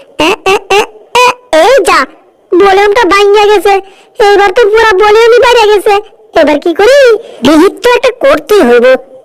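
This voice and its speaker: Pitched extremely high, this put-on character voice moves at a fairly quick pace. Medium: fan dub. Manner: exclamatory, fretful, dialect-heavy.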